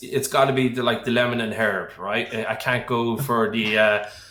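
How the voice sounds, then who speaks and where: Audible room echo and noticeable background noise surround the recording. A man talks with ordinary pitch variation. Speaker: accountant. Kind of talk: casual interview chat.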